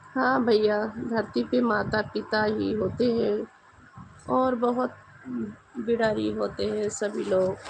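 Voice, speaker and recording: Very slowly, a woman speaks with clear background noise behind her. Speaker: live-stream host. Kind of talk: casual live-stream chat. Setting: live stream at home at night.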